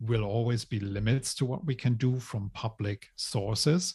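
A man speaks at a fairly slow pace with hardly any pauses, his voice somewhat breathy. His pitch variation is ordinary, and the recording is very clean with a silent background. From Germany. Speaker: tech company CEO and co-founder. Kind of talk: interview storytelling.

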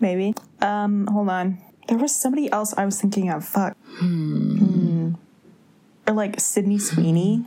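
Amid noticeable background noise, a woman at a medium pitch with ordinary pitch variation speaks with long, frequent pauses. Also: fairly slow pace. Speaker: podcast host. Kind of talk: casual chat.

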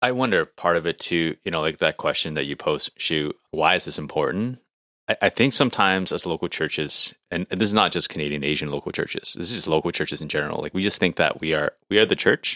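A man talks at a very fast pace in a very deep, low pitch with a bright, sharp tone, in a very clean recording with a silent background and a dry, close sound with no echo. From Canada, of Hong Kong descent. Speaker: podcast co-host. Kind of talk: casual chat.

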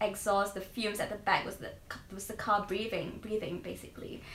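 Audible room echo follows the woman as she talks at a fairly high pitch. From Singapore. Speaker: trainee primary school teacher. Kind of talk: casual interview.

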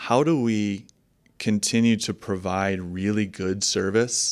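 An unremarkable speaking voice from a man with an American accent, fairly even intonation and a very clean recording with a silent background. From Michigan, US Midwest. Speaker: investment manager. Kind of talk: interview.

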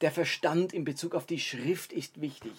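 With a plain, everyday voice, a man talks at a moderate pace and a fairly high pitch, using ordinary pitch variation. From Baden, southern Germany (Karlsruhe). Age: 40s. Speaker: pastor and podcast host. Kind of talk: solo podcast talk, sermon-like teaching.

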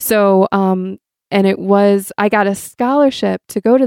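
The woman has an ordinary speaking voice, pitched in the medium range, and her intonation stays fairly even. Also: dry, close sound with no echo. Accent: American. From Michigan, US Midwest. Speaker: consecrated laywoman. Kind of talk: casual interview.

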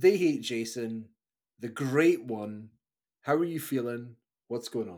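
With a Scottish accent, a man at a medium pitch talks fairly slowly, pausing long and often, with ordinary pitch variation. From Scotland, Fife (Kirkcaldy). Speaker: podcast host. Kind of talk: casual chat. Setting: live-streamed remote recording.

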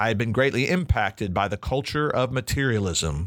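On a very clean recording with a silent background, a man of medium pitch speaks at a fairly quick pace with very wide pitch swings and vocal fry. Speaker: biblical counselor and podcast host. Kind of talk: recorded teaching talk.

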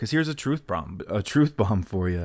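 A man with an unremarkable speaking voice talks at a fairly low pitch. He keeps a moderate pace on a very clean recording with a silent background. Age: 30s. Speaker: self-help podcast host. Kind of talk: solo podcast monologue. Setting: home recording in apartment.

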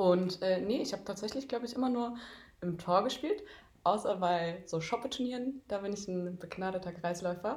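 A woman's somewhat breathy voice at a medium pitch, with ordinary pitch variation and a moderate pace. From Darmstadt, Hesse, Germany. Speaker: handball goalkeeper and student. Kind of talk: casual interview.

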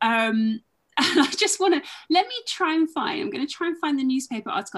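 The recording is very clean, with a silent background. A woman with a high voice talks at a fairly quick pace, her pitch swinging very widely. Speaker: boxing and wrestling historian. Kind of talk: interview. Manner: hesitant, many filler ums.

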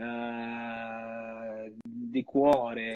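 A man's intonation stays fairly even while the background remains quiet. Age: 40s. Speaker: tap dancer and dance teacher. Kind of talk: casual interview chat.

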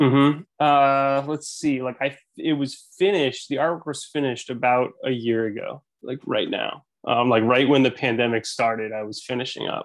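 A man with an ordinary speaking voice talks at a moderate pace with hardly any pauses, his fairly high pitch showing ordinary pitch variation. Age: 30s. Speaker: author and illustrator. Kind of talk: casual interview.

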